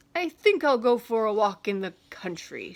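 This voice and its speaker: A woman's put-on character voice, fairly high in pitch, with very wide pitch swings at a moderate pace. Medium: read story. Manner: scolding, repetitive.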